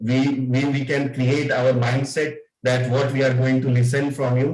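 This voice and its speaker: In an Indian accent, a man speaks fairly slowly at a fairly high pitch, sounding somewhat breathy. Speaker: club member giving evaluation. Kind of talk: spoken feedback in online club meeting. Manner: halting, many fillers.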